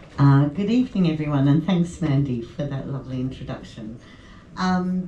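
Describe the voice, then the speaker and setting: A woman talks in a room where the echo is audible. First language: multilingual household incl. Greek. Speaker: poet. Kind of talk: poetry introduction. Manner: halting.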